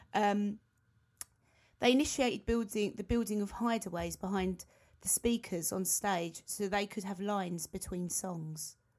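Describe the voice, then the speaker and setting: A woman speaks with a British accent. Her pace is fairly slow. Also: medium pitch for a woman, ordinary pitch variation. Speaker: podcast co-host, band member. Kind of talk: casual chat. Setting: video call.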